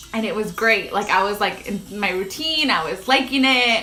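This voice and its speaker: A woman's raised, projected voice with lively intonation at a moderate pace, with audible room echo and noticeable background noise. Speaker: lifestyle vlogger. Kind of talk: casual livestream chat. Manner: loud; casual, filler-heavy.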